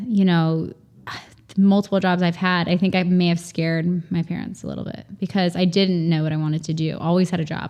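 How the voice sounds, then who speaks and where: A woman's plain, everyday voice at a medium pitch, with fairly even intonation and a moderate pace, on a very clean recording with a silent background. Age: 40s. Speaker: farmer and communications professional. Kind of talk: casual interview chat.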